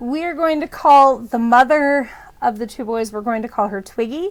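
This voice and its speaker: The speaker has an American accent and ordinary pitch variation. The recording is very clean, with a silent background. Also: woman. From US Midwest. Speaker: storytelling vlogger. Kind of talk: casual storytelling. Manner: hesitant, many filler words.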